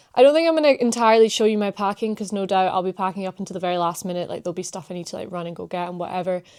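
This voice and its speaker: A woman speaks in a Scottish accent. Her pitch is medium with ordinary variation. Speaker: vlogger. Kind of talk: casual chat. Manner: animated.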